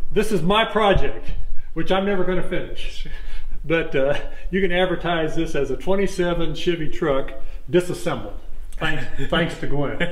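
The man's voice sits high, with ordinary pitch variation and a moderate pace. Long, frequent pauses and audible room echo mark the recording. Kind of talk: casual explanation while touring. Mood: relaxed, reminiscing, laughing. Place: farm machine.

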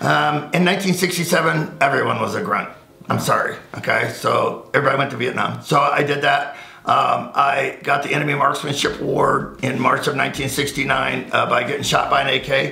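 The speech moves at a moderate pace. Audible room echo can be heard. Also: man. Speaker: firearms instructor. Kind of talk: casual interview. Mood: wry, relaxed. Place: home room.

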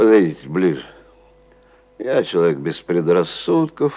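At a very slow pace, a man speaks in a very deep, low pitch. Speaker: actor reading a story. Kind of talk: literary narration reading. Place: studio.

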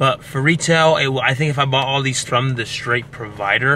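A man talks at a moderate pace with light background noise, the sound dry with no echo. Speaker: fitness vlogger. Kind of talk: casual vlog chat. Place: car. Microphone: phone near.

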